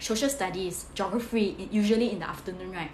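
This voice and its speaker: Against noticeable background noise and audible room echo, a woman speaks at medium pitch with ordinary pitch variation. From Singapore. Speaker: career coach, former tutor. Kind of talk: live stream study tips talk. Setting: live stream. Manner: fast.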